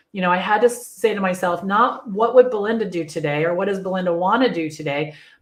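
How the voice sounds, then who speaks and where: Over audible room echo, a woman talks at a very fast pace with ordinary pitch variation. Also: medium pitch for a woman. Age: 60s. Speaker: virtual assistant business coach. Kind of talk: live webinar presentation. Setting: live stream. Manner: animated.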